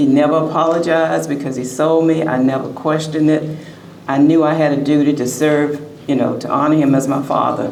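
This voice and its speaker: A woman with a very deep, low voice speaks in a monotone, flat way at a fairly quick pace, with audible room echo and noticeable background noise. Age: 70s. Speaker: author. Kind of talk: short speech at book expo.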